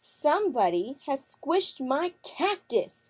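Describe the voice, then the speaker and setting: Putting on a character voice, a woman growls at a high pitch with very wide pitch swings and a fairly slow pace. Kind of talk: picture book read-aloud. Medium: read story.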